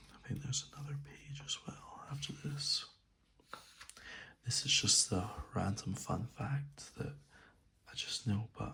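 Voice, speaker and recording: A man whispers fairly slowly, with pauses that are long and frequent. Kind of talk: soft-spoken ASMR reading. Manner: soft-spoken.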